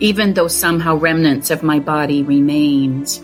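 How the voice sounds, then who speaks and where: Music plays in the background as a woman speaks at a very deep, low pitch with ordinary pitch variation. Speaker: abuse survivor and advocate. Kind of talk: spoken word poetry reading.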